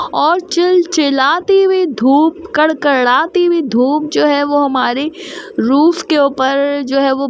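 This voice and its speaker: A woman's high pitch with ordinary variation, over noticeable background noise. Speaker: vlogger. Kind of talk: casual personal vlog monologue.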